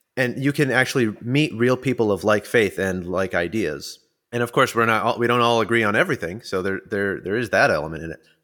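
A man's medium-pitched, bright, sharp voice at a fairly quick pace, with ordinary pitch variation and hardly any pauses. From US, Puerto Rican family. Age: 30s. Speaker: former podcast host. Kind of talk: casual chat. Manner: halting.

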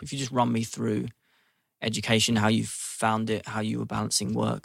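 This man talks with a London accent. The sound is dry and close, with no echo. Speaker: podcast host. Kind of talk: interview.

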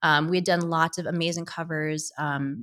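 A woman with a General American accent and monotone, flat intonation on a very clean recording with a silent background. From US Northeast, Connecticut. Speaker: former magazine editor and brand founder. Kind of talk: interview.

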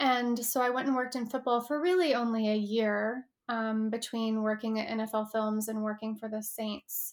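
A woman's ordinary speaking voice, fairly high-pitched, with fairly even intonation at a moderate pace and hardly any pauses. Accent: American. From Texas. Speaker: human design and astrology reader. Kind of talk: casual interview.

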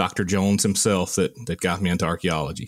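This is a man speaking with a Southern US accent. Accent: Southern US (Georgia). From US South, rural Georgia. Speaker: archaeologist, army veteran. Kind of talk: casual chat.

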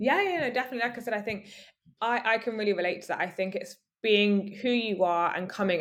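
In a very clean recording with a silent background, a woman speaks at a fairly quick pace with ordinary pitch variation in a plain, everyday voice. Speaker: podcast host. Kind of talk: interview.

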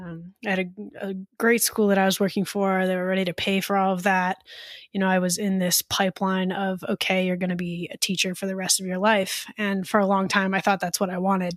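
A woman speaks with an American accent in a monotone, flat intonation. The recording is very clean, with a silent background. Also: medium pitch for a woman, fairly quick pace. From US East Coast. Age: 20s. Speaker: poet and college professor. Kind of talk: interview.

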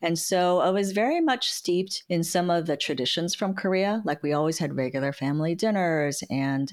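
On a very clean recording with a silent background, a woman with an American accent talks at a moderate pace and a fairly low pitch, with ordinary pitch variation and very even loudness. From San Francisco, US. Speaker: lawyer and compliance executive. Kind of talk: interview conversation.

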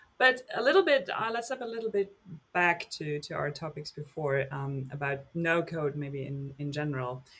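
Speaking with a German accent at a moderate pace, a man uses a fairly high pitch, a bright, sharp tone and lively intonation, with big swings in loudness. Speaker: podcast host. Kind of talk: interview.

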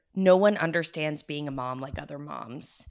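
With an American accent, a woman speaks at a fairly slow pace in a very deep, low pitch on a very clean recording with a silent background. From Florida (Tampa). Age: 30s. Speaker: podcast co-host, mother. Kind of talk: casual chat. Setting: on a couch at a friend's house.

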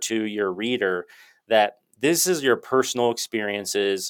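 Heard on a very clean recording with a silent background, a man with a plain, everyday voice speaks at a medium pitch and a moderate pace. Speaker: podcast host, chiropractor. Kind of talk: interview conversation.

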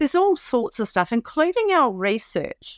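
A woman with a New Zealand accent talks at a fairly slow pace, her pitch swinging very widely. The sound is dry and close with no echo, a very clean recording with a silent background. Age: 50s. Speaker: four-day week campaigner. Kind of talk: interview. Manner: halting.

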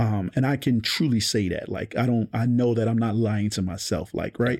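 A man with an American accent uses a normal speaking voice at a medium pitch with ordinary pitch variation. His pace is fairly quick, and the recording is very clean with a silent background. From Baltimore, Maryland. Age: 40s. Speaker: realtor. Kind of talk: casual interview.

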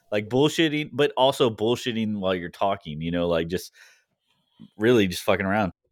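On a very clean recording with a silent background, a plain, everyday voice moves at a fairly quick pace with lively intonation. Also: man, fairly low pitch for a man. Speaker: paratrooper. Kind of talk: casual chat.

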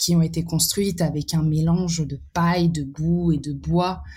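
Dark, mellow, somewhat breathy speech at a fairly slow pace with fairly even intonation, on a very clean recording with a silent background. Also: woman. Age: 20s. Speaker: artist with exhibitions. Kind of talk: podcast interview. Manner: halting, many repetitions and fillers.

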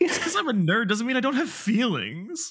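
A man puts on a whiny, cartoonish character voice at an extremely high pitch, talking at a fairly quick pace. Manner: sassy, whiny.

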